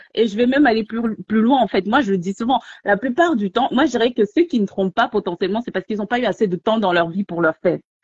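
A woman's fairly high, somewhat breathy voice at a very fast pace, lively intonation and hardly any pauses, dry with no echo over a quiet background. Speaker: debate participant. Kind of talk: heated debate. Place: home room. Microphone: phone near.

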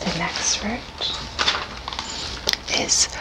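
A woman is whispering. Loud background noise surrounds her voice. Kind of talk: casual vlog chat. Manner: slow whispered ASMR trigger words. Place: home room. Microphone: studio mic.

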